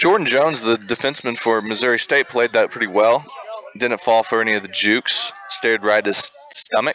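A man at a medium pitch and fairly quick pace, with ordinary pitch variation, very even loudness, and noticeable background noise. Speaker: lacrosse color commentator. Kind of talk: live commentary. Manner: animated.

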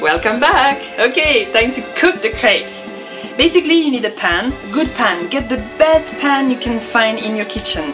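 Clear music plays behind a woman speaking in a high pitch at a moderate pace, with very wide pitch swings. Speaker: home cook. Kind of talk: cooking show talk to camera. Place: kitchen. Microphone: camera far.

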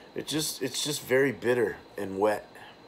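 There is light background noise behind a man as he talks. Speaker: beer reviewer. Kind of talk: casual review commentary. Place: home room. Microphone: phone near.

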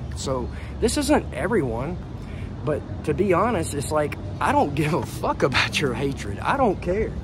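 A man talks at a moderate pace with an American accent. Clear music plays in the background. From United States. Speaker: vlogger. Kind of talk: casual monologue to camera. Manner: animated. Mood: defiant, irritated toward critics. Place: street. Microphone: earbuds.

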